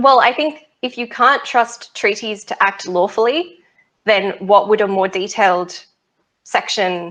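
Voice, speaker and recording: Here is a woman with an Australian accent. She speaks at a fairly slow pace. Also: fairly high pitch for a woman, ordinary pitch variation. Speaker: space law researcher. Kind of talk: interview. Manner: animated.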